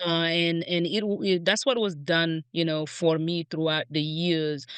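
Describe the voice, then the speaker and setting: A woman with a non-native accent speaks at a fairly slow pace in a fairly low pitch, her intonation fairly even. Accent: foreign. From outside the US. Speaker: grocery store executive. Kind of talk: podcast interview. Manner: halting, many repeated words.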